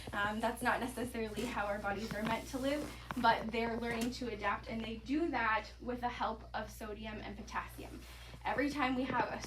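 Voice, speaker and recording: With noticeable background noise and audible room echo, a woman talks at a moderate pace. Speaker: health presenter on mineral nutrition. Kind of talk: presentation to live audience.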